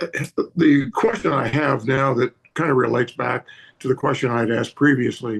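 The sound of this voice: A man puts on a raspy, hoarse character voice. He keeps a medium pitch and a moderate pace.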